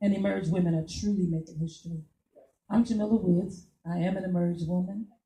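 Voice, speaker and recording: Somewhat breathy and dark, mellow in tone, a woman talks at a fairly quick pace with a fairly low pitch and fairly even intonation. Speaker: political candidate. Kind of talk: campaign speech. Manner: halting.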